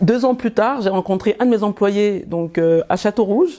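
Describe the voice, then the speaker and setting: Speech comes at a moderate pace in a dark, mellow tone. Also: woman. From Cameroon. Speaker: entrepreneur, former catering director. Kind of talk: interview answer.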